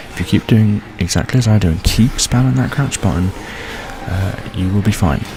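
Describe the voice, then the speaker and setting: A soft-spoken man talks at a fairly quick pace in a fairly low pitch with ordinary pitch variation. Noticeable background noise runs behind him. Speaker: gaming video creator. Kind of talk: tutorial. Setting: home recording late at night. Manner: quiet, soft-spoken; hesitant, many fillers.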